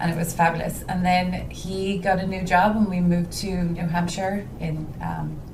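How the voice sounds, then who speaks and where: Over noticeable background noise and audible room echo, a woman with a Dublin accent talks in a fairly low, flat monotone with hardly any pauses. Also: moderate pace. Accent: Irish (Dublin). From Ireland, Dublin. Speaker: home stager, business owner. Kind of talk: casual interview chat.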